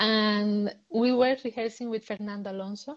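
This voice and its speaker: A woman with a Spanish accent speaks with fairly even intonation against a quiet background. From Cuba. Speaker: dancer. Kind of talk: interview. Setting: live Instagram stream. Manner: halting.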